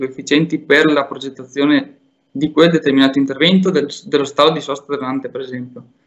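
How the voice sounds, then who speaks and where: This man has an unremarkable speaking voice. It sits fairly high, and its pitch moves in an ordinary way. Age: 20s. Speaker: urban planning graduate. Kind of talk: presentation and interview.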